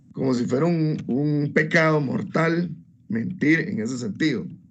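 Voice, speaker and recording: The speech carries audible room echo. Its pitch varies in an ordinary way. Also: man. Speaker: law student. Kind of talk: class presentation. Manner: hesitant.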